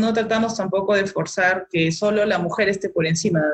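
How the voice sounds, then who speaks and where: A woman talks at a fairly quick pace. Her voice is somewhat breathy, with fairly even intonation. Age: 40s. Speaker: molecular biologist. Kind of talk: interview.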